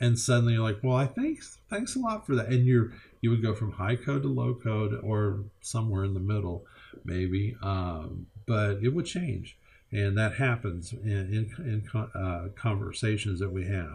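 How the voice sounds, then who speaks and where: Speaking at a moderate pace over a quiet background, a man with a fairly low pitch sounds somewhat breathy, with ordinary pitch variation. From Kentucky. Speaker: college instructor. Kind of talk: lecture. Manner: halting, many fillers and repetitions.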